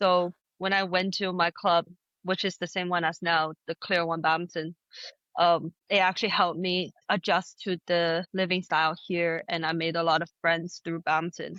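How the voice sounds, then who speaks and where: A woman speaks with a Chinese accent at a fairly low pitch. Her intonation is monotone and flat, and her pace is moderate. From China, then Canada from age nine. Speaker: badminton player. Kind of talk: interview.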